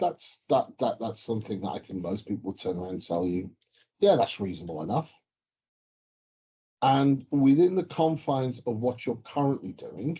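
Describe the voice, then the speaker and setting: With an English accent, this somewhat breathy voice has a dark, mellow tone and very wide pitch swings. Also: man. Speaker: mining geochemist. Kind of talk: casual chat.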